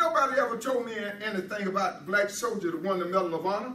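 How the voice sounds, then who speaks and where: With an American accent, a man uses a raised, projected voice with ordinary pitch variation, heard over noticeable background noise and audible room echo. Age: 80s+. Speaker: guest speaker. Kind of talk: public speech. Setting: stage with audience.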